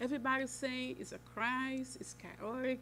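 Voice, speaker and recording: There is audible room echo as a woman speaks with a Portuguese accent. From Brazil. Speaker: nonprofit executive director. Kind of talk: press conference speech.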